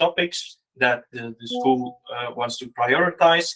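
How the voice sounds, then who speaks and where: A man's fairly high voice with ordinary pitch variation at a fairly slow pace. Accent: non-native. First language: Dutch. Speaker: teacher, innovation project facilitator. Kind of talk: conference presentation. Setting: event with live audience. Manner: hesitant, many fillers.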